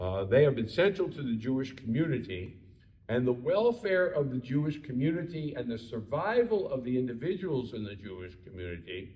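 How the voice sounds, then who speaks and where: A man with an American accent, a medium pitch with very wide swings, a somewhat breathy, dark, mellow tone, a moderate pace, and audible room echo. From Baltimore, Maryland, US. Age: 70s. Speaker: rabbi. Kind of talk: lecture. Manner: hesitant, many fillers.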